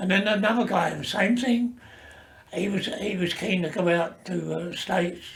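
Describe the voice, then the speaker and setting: A high-pitched man at a moderate pace, with ordinary pitch variation, noticeable background noise and audible room echo. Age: 90s. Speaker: retired seaman and army veteran. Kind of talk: oral history interview. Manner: halting.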